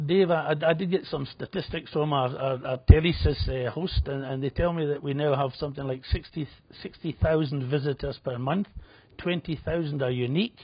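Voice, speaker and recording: Somewhat breathy, a man with a fairly high voice speaks at a moderate pace and ordinary pitch variation. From Scotland, Edinburgh. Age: 60s. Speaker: betting website founder, former bookmaker. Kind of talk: TV interview.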